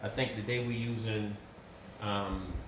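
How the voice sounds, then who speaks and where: A man with an American accent talks at a very slow pace amid noticeable background noise and audible room echo. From US South. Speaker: cook. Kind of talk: tutorial. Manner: casual.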